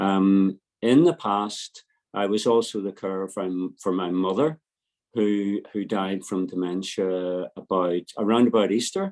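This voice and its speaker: A man with a Belfast accent talks at a fairly slow pace in a fairly low pitch, with fairly even intonation and a dry, close sound with no echo over a quiet background. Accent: Belfast Northern Irish. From Northern Ireland, Belfast. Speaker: family carer. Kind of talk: panel introduction. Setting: online webinar.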